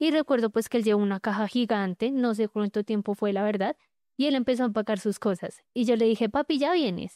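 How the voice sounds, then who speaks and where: Speaking at a fairly quick pace, a woman with a dark, mellow tone and a fairly high pitch keeps her loudness very even and her pitch variation ordinary, in a dry, close sound with no echo and a quiet background. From Colombia, Bogotá. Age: 20s. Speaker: abuse survivor telling her story. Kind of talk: testimony.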